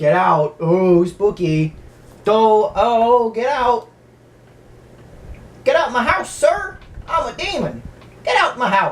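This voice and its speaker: In a put-on character voice, the speaker goes at a very slow pace with a fairly high pitch and long, frequent pauses. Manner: mock spooky, shouting.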